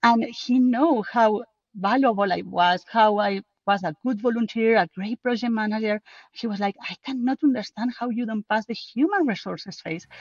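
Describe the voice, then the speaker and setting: A woman speaks in a strong Spanish accent at a moderate pace. Her voice is fairly high and somewhat breathy, with ordinary pitch variation. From Spain. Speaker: book co-author, project manager. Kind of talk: podcast interview.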